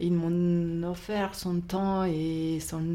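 A woman speaks at a very slow pace with a medium pitch and a dark, mellow tone. There is audible room echo. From Mexico. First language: not French (speaking French). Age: 60s. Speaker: bookshop owner. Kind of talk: casual interview. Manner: halting.

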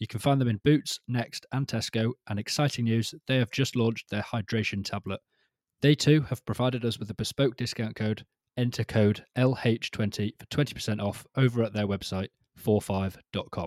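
A man with an ordinary speaking voice talks at medium pitch and moderate pace with fairly even intonation, in a very clean recording that is dry, close and echo-free against a silent background. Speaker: podcast host. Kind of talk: casual chat.

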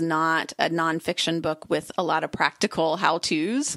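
Over a quiet background comes an ordinary speaking voice at a moderate pace. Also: woman. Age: 40s. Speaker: writer and podcaster. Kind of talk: casual interview chat.

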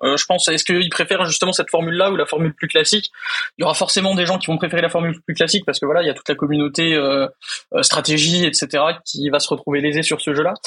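Fairly even intonation marks speech delivered at a very fast pace. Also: man, high pitch for a man. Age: 20s. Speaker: primary school teacher. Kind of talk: casual chat.

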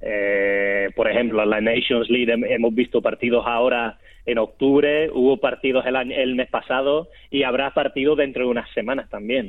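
An ordinary speaking voice from a man at medium pitch, moderate in pace, with fairly even intonation and very even loudness. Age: 30s. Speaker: sports journalist. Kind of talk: casual chat.

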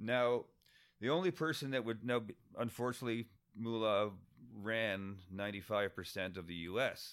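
This man has an ordinary speaking voice, medium in pitch, with a Canadian accent, ordinary pitch variation, and a moderate pace. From Windsor, Ontario (Canada), from age four, Scottish family. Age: 50s. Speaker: writer and former musician and bartender. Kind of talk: casual interview.

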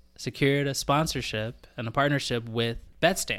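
This is an ordinary speaking voice from a man. He talks at a fairly slow pace. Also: very clean recording, silent background. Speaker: sports podcast co-host. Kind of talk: casual chat.

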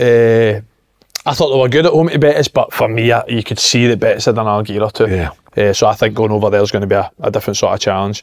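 A man talks at a very fast pace with a Glaswegian accent. His loudness stays very even throughout. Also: medium pitch for a man, ordinary pitch variation. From Glasgow, Scotland. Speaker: former footballer, football pundit. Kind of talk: casual chat.

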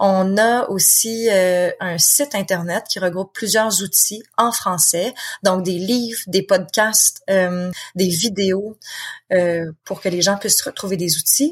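Speaking very slowly with a Quebec accent, a woman uses a medium, somewhat breathy voice with ordinary pitch variation. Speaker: author and founder of support association. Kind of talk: interview conversation.

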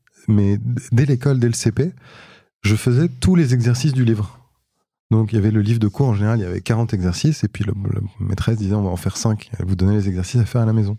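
A man with a fairly low, somewhat breathy voice and a dark, mellow tone speaks at a very fast pace, using ordinary pitch variation. He leaves long, frequent pauses, and the recording is very clean with a silent background. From France, Paris. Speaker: tech entrepreneur. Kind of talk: interview conversation.

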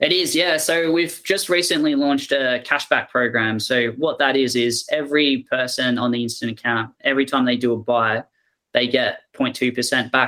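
With an Australian accent and a bright, sharp tone, a man speaks at a moderate pace with hardly any pauses, very even loudness and fairly even intonation. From Melbourne, Australia. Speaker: fintech company CEO. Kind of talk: interview.

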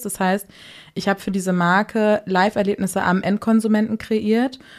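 A woman speaks in an ordinary speaking voice at a moderate pace, her medium pitch held in fairly even intonation. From Hamburg, northern Germany. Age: 20s. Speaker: podcast producer. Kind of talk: casual interview.

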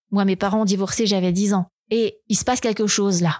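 A medium-pitched woman with fairly even intonation, dry and close with no echo, in a very clean recording over a silent background. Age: 50s. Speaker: former cult member. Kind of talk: testimony. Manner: hesitant with fillers.

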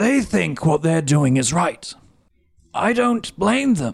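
A man's raspy, put-on character voice, high in pitch, with very wide pitch swings and a very slow pace. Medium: actual play. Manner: calm, measured.

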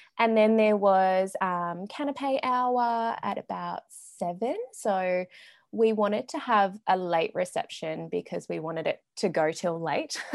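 At a fairly slow pace, a woman with an Australian accent and a medium pitch talks with lively intonation. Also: quiet background. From Melbourne, Australia. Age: 20s. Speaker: recently married bride. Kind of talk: casual interview chat.

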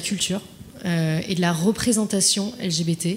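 The speaker is a woman. Her pitch sits at a medium level. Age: 20s. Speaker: client solutions manager. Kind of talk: panel discussion. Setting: dinner debate with audience. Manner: halting.

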